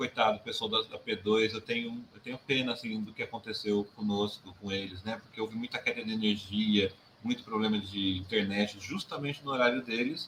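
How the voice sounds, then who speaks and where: A man at medium pitch speaks with fairly even intonation and hardly any pauses. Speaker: university lecturer. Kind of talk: recorded course feedback talk to students. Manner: fast; casual, conversational.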